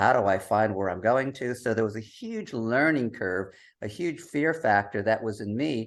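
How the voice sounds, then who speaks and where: At a moderate pace, a man speaks with a medium pitch and ordinary pitch variation. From US. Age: 60s. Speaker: travel writer, digital nomad. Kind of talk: podcast interview.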